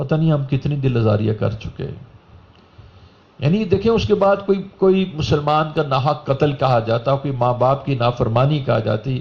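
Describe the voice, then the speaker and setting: Somewhat breathy speech with lively intonation. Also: man, fairly high pitch for a man. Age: 60s. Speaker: religious speaker. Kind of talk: sermon.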